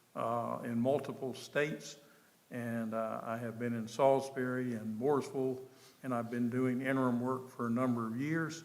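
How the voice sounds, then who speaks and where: A man talks at a moderate pace in a flat monotone, with audible echo from the room. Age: 70s. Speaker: town manager. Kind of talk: public meeting presentation. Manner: halting, many fillers.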